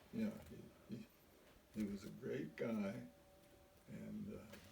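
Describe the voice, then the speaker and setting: A man speaks over noticeable background noise. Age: 90s. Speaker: retired teacher and coach, war veteran. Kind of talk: interview answer.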